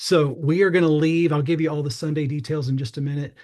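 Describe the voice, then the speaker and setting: A man's fairly high, somewhat breathy voice with an American accent and fairly even intonation. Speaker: youth pastor. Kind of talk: informational briefing. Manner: fast; casual, many fillers.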